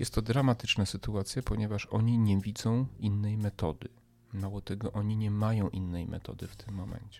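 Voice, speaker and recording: A man speaks at a fairly quick pace in a fairly low pitch, his dark, mellow tone staying monotone and flat while his loudness swings widely. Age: 40s. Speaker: podcast host, commentator. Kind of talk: monologue commentary. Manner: emphatic, hesitant with fillers.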